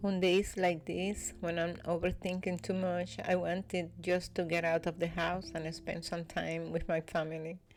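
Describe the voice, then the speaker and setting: Speaking at a fairly slow pace, a woman with a Spanish accent has a fairly low pitch. Her tone is calm. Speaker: vlogger. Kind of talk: voiceover narration. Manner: soft-spoken.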